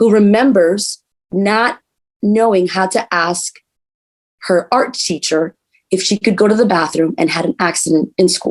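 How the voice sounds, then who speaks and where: The pace is moderate with ordinary pitch variation. The sound is dry and close, with no echo. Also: woman. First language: Spanish. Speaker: politician, council candidate. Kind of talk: interview.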